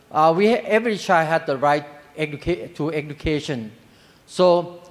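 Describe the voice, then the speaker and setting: Lively in intonation, a man speaks at a fairly high pitch in a Thai accent. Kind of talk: panel presentation. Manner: halting.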